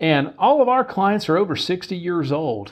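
Lively intonation marks a man's moderate-paced speech in an unremarkable speaking voice. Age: 30s. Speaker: financial advisor podcast host. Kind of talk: solo podcast monologue on finance and politics.

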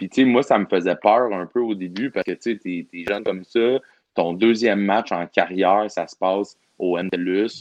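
A man talks at a moderate pace in an unremarkable speaking voice, pitched fairly low. His loudness shifts in big swings. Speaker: pro wrestler. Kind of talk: casual chat.

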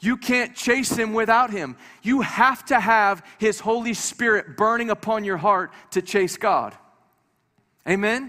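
A man speaks in a raised, projected voice with an animated, bright and sharp tone, high pitch, ordinary pitch variation and a fairly slow pace. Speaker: visiting preacher. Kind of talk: sermon. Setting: church with congregation.

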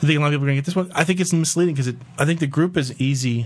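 Speaking at a very fast pace, a man uses lively intonation in a somewhat breathy voice. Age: 30s. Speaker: podcast host. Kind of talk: casual chat. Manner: playful.

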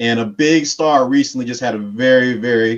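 Here is a normal speaking voice with ordinary pitch variation at a moderate pace. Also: man. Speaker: caller, show member. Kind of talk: casual call-in.

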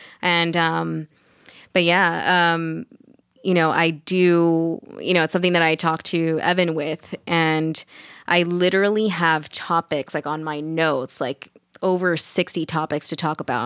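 A woman's fairly low-pitched, normal speaking voice at a moderate pace, fairly even in intonation, with a dry, close sound, no echo, and a very clean recording over a silent background. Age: 20s. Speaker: domestic abuse survivor and mother. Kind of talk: casual interview.

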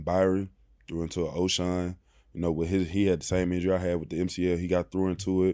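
A very deep, low-pitched man's voice with a Mississippi accent, in a very clean recording over a silent background. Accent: US Southern, Mississippi. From Mississippi (small town near Oxford). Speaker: professional football player. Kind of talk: interview. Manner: soft-spoken.

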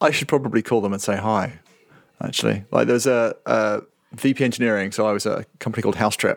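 The speaker talks at a very fast pace with vocal fry and fairly even intonation. The recording is very clean, with a silent background. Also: man, fairly low pitch for a man. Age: 40s. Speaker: software company CTO. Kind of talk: casual interview.

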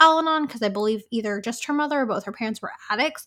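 A woman speaks in a fairly high pitch with an unremarkable speaking voice. The recording is very clean, with a silent background. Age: 20s. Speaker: podcast co-host. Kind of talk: casual chat.

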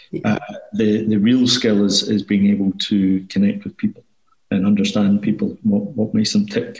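He speaks with a Glasgow accent. The man's pace is moderate. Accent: Scottish (Glasgow). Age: 30s. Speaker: financial planning firm owner. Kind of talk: interview.

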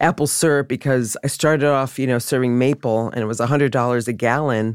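A woman talks with a very deep, low pitch. Her intonation stays fairly even. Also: very clean recording, silent background. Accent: American. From US Northeast (Rochester, New York). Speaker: chef. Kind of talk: interview.

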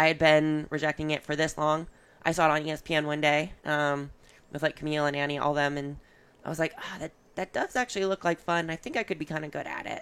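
A woman's very deep, low voice at a very fast pace, with fairly even intonation, in a very clean recording with a silent background. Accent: American. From Michigan, Ann Arbor. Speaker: competitive CrossFit athlete. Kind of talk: casual interview chat. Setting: in person, Columbus.

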